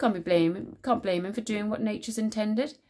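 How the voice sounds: What comes through is a natural reading voice.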